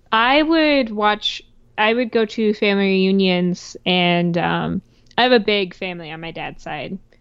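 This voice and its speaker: A woman with a normal speaking voice at a medium pitch talks at a fairly slow pace, with lively intonation and big swings in loudness. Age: 20s. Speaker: podcast co-host. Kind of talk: casual chat.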